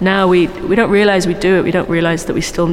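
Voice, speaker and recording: A woman talks in a fairly low, monotone voice with flat intonation. Background noise is noticeable. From South Wales. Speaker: painter. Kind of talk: guided gallery tour conversation. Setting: gallery space.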